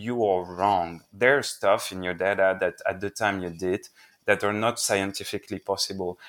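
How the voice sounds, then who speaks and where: A man speaks with a French accent. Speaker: investigative journalist and book author. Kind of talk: interview.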